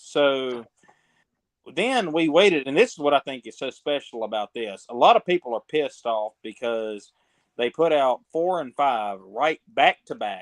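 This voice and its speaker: Talking at a fairly slow pace in a Southern US accent, a man with a fairly high pitch shows big swings in loudness. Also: lively intonation. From Mississippi, US South. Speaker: podcast guest, fan commentator. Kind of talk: casual chat.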